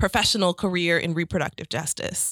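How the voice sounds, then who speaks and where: In a plain, everyday voice, a woman with an American accent speaks at medium pitch with fairly even intonation. The recording is very clean and silent behind her, with a dry, close sound and no echo. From St. Louis, Missouri. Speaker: nonprofit executive director. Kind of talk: interview.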